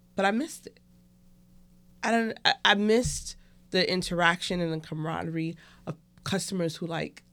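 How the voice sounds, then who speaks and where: A woman with a New York accent, fairly even intonation and a moderate pace. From Brooklyn, New York. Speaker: restaurant co-owner and medical worker. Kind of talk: casual chat.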